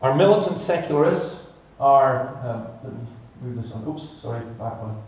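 A man with a Scottish accent speaks at a fairly slow pace. There is audible room echo. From Scotland. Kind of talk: conference talk. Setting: stage with audience. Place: stage.

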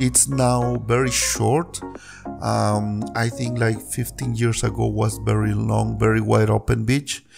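A man talks very slowly while clear music plays behind him. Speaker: local tour guide. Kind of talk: casual vlog chat. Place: waterside. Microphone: phone near.

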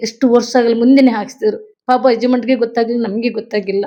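Her tone dark and mellow, a woman speaks at a high pitch with monotone, flat intonation. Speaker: victim's mother, activist. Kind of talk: testimony. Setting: at her home.

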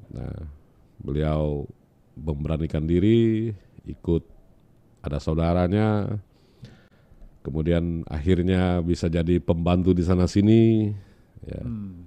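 A man with a very deep, low, dark and mellow voice speaks very slowly, with long, frequent pauses and ordinary pitch variation. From West Kalimantan, Indonesia. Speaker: regional head of government; guest. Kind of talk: interview. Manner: halting. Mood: relaxed, smiling. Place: studio. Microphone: studio mic.

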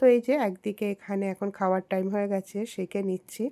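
A woman speaks in a dark, mellow tone with fairly even intonation. The sound is dry and close with no echo, and the recording is very clean with a silent background. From Chittagong, Bangladesh. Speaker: cooking and family vlogger. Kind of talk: vlog narration.

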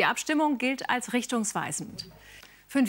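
At a fairly slow pace, the woman talks with ordinary pitch variation. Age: 50s. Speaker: television news anchor. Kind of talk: TV news anchor reading. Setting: television studio. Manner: formal, measured. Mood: calm, formal, composed. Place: studio.

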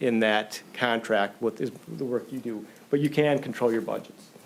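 A man speaks with a medium pitch. His intonation stays fairly even. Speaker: engineering consultant. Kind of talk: presentation at city work session. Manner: fast.

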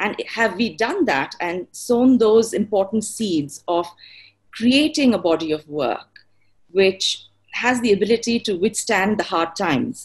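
Against a quiet background, a woman speaks in a fairly high, somewhat breathy voice. Her intonation is lively and her pace fairly slow. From India, Bangalore; India. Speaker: designer; webinar panelist. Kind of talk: webinar panel discussion. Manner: poetic, flowing. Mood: inspirational, earnest. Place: home room. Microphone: video call.

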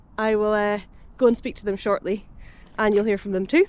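A woman's voice, dry with no echo. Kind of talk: casual vlog chat. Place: waterside. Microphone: phone near.

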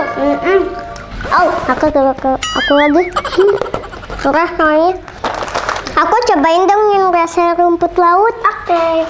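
A woman speaks at a very slow pace in an extremely high voice. Her loudness stays very even, with music in the background. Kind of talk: casual talk to camera. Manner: casual, chatty, reacting to spicy food.

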